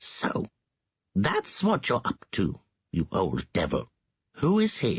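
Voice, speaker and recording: Putting on a character voice, a man at medium pitch keeps very even loudness and takes long, frequent pauses. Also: fairly slow pace. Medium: read story.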